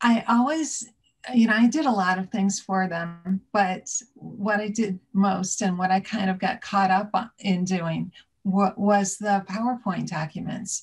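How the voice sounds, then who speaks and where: A woman speaks at a very slow pace, somewhat breathy, with ordinary pitch variation. The background is quiet. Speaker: interview guest. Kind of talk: interview answer. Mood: warm, amused. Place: home room. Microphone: video call.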